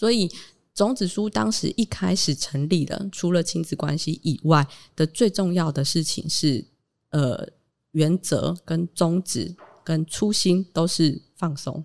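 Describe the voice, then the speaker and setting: Very slow speech from a woman with a Taiwanese accent, fairly low pitch and ordinary pitch variation, in a dry, close sound with no echo. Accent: Taiwanese Mandarin. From Taitung, Taiwan. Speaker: founder of a parent-child community space. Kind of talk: casual interview.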